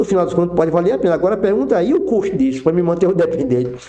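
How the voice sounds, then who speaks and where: With a dark, mellow tone, a man speaks at a high pitch with very wide pitch swings. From Brazil, Acre / Rondônia region. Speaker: tax expert, former federal revenue officer. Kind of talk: podcast interview explanation.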